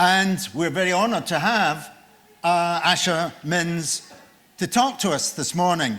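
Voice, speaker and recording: A loud man at a high pitch with a bright, sharp tone, at a fairly slow pace, with audible room echo. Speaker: session chair, professor. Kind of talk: formal speaker introduction. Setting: conference room with audience, on microphone.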